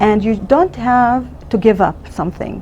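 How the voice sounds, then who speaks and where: Over noticeable background noise, a woman with an Arabic accent speaks at a moderate pace, her medium pitch showing ordinary pitch variation. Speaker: emergency physician. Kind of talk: interview. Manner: halting.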